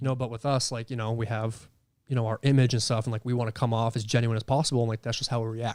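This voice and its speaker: Over a silent background in a very clean recording, a man speaks very fast at a medium pitch in a monotone, flat way. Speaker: paranormal investigator. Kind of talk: casual chat. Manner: loud, projecting voice.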